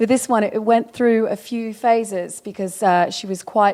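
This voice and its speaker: In a very clean recording with a silent background, a woman with an Australian accent talks at a moderate pace in a dark, mellow tone with fairly even intonation. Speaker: wallpaper designer. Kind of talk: interview. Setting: design event. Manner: halting, many fillers.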